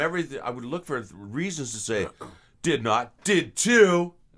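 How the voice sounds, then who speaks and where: Noticeable noise fills the background while a man talks at a medium speed. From western Canada (British Columbia), born in England. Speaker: voice actor. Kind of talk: interview. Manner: halting.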